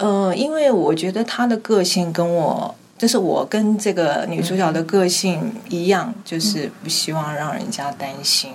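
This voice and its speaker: The speech moves at a fairly slow pace with hardly any pauses. Intonation is lively, and background noise is noticeable. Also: woman, medium pitch for a woman. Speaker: radio drama actress, former trainee. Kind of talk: interview about her role. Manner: steady voice despite nerves.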